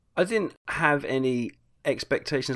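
The background is silent on this very clean recording. A man talks, his pitch varying in an ordinary way. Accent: British. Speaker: podcast guest. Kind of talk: casual chat. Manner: halting.

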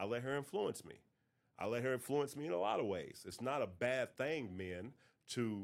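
A man speaks quite quickly with an American accent. His pitch variation is ordinary. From North Carolina. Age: 40s. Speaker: podcast host. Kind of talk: casual monologue.

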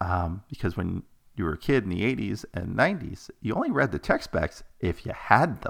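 A man's ordinary speaking voice, fairly low in pitch, at a moderate pace with lively intonation. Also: very clean recording, silent background. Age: 40s. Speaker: podcast host. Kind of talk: casual monologue.

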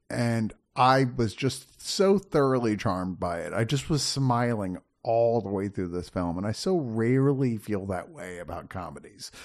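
A man with a plain, everyday voice speaks at medium pitch and a moderate pace, his intonation lively. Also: quiet background. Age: 50s. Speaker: film critic. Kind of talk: casual chat.

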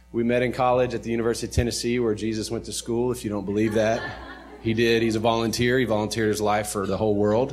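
With an American accent, a man talks very fast at a medium pitch with fairly even intonation. Audible room echo and noticeable background noise are present. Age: 30s. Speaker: pastor. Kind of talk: sermon.

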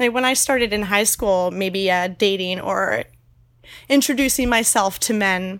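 On a very clean recording with a silent background, a woman uses a normal speaking voice at medium pitch. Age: 20s. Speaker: naturist park seasonal worker. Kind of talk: interview.

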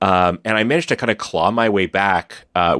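Recorded against a quiet background, a man's voice sounds dry and close, with no echo. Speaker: podcast host. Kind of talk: casual chat.

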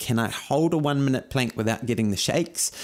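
Lively intonation in a New Zealand accent, on a very clean recording with a silent background. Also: man. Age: 40s. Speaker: running coach podcast host. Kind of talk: fitness tutorial monologue. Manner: energetic.

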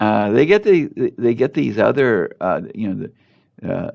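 The speaker talks at a moderate pace with a Californian accent. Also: man. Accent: General American, California. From Los Angeles, South Bay (Torrance). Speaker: doctor. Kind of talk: interview. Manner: halting, many repetitions.

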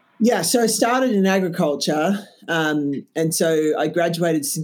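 A woman with an Australian accent, speaking at a very slow pace. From Australia, Canberra. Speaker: insect waste business founder. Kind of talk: interview. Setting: remote call.

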